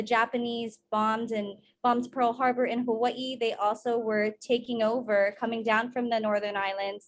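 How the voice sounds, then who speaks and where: A woman with a Guam accent speaks at a moderate pace in a fairly high voice, her intonation fairly even. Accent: Chamorro Guam English. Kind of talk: conference presentation. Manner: halting.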